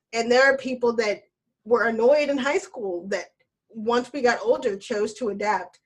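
In a plain, everyday voice with an American accent, the speaker talks at a moderate pace with ordinary pitch variation. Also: woman, fairly high pitch for a woman. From US South, Alabama. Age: 20s. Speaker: Marine Corps veteran. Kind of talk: casual chat.

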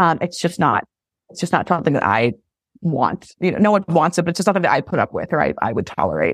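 A woman with an American accent, a fairly low pitch, vocal fry, lively intonation and a very fast pace, in a dry, close sound with no echo. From Massachusetts, south of Boston. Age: 20s. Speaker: reality TV casting producer. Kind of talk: casual chat.

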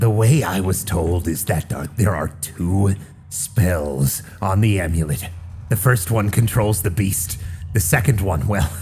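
A man puts on a character voice, very deep and low in pitch, speaking at a fairly slow pace over clear background noise. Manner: bitter, defeated, grandiose.

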